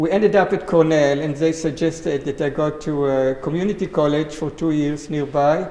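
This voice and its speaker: A man's fairly high-pitched voice comes through at a moderate pace. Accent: Israeli. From Israel. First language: Hebrew. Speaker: greenhouse grower. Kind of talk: panel talk.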